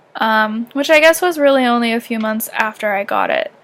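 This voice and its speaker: A woman with a slight Canadian accent speaks at a high pitch with ordinary pitch variation. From Canada, southern Ontario near Michigan. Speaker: YouTuber. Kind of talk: casual vlog chat. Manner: animated.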